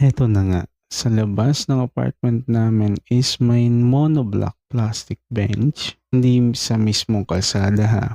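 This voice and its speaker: Dark and mellow in tone, a man's medium-pitched voice moves at a very slow pace with hardly any pauses, very even loudness and fairly even intonation. The sound is dry and close, free of echo. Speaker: horror story channel host. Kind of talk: reading a listener's story aloud.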